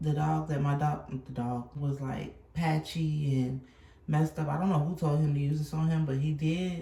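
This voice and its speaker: There is noticeable background noise behind this woman. She speaks at a moderate pace with a very deep, low pitch. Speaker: vlogger. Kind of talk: casual vlog. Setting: at home. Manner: animated.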